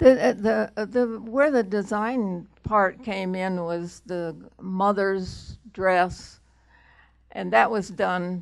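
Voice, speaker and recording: A woman speaks at a very slow pace against a quiet background. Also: ordinary pitch variation. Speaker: costume designer; guest. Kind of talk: interview before a live audience. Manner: halting. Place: meeting room. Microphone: handheld.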